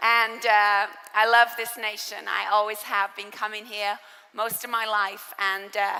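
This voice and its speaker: Noticeable background noise runs under a voice with an English accent that moves at a fairly slow pace. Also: woman. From England. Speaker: preacher. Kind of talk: sermon.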